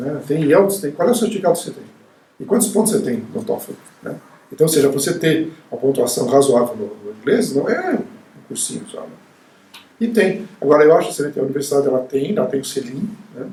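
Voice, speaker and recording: Amid noticeable background noise, a man with a fairly high pitch speaks at a fairly quick pace, with very wide pitch swings, big swings in loudness and long, frequent pauses. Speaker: university professor. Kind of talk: interview. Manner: halting, with frequent repetitions.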